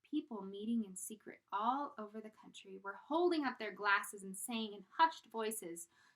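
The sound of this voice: The text is read aloud. It comes in an unforced reading voice.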